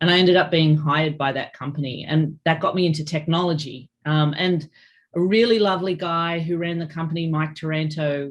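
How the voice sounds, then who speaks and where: Over a quiet background, a woman with an Australian accent speaks at a fairly quick pace in a very deep, low voice with fairly even intonation. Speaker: cybersecurity executive. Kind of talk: interview.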